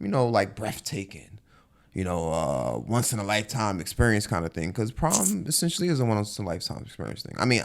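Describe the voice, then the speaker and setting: Fairly quick and marked by vocal fry, this man's fairly low voice swings very widely in pitch. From New York. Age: 20s. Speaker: podcast host. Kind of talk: casual chat.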